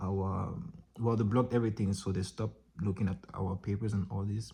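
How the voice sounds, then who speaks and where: This man has a fairly low pitch and a dark, mellow tone, somewhat breathy, with ordinary pitch variation at a moderate pace. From Cameroon. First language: French. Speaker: vlogger and dancer. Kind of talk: casual vlog monologue. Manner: casual, halting with self-corrections.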